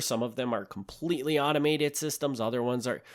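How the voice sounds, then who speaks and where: A man's unremarkable speaking voice at medium pitch and fairly quick pace, on a very clean recording with a silent background. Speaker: podcast host. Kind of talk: solo podcast monologue. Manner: casual, with fillers and restarts.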